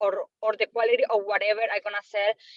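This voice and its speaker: A woman with a Colombian accent speaks at a moderate pace. Her pitch is fairly high and varies in an ordinary way. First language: Spanish. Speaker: trainee salesperson. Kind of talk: questions in training webinar.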